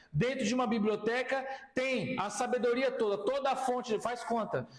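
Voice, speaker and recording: Over noticeable background noise and audible room echo, a man with an extremely high pitch speaks at a moderate pace, his loudness very even and his intonation fairly even. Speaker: pastor and Bible teacher. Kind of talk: lecture. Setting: classroom with students.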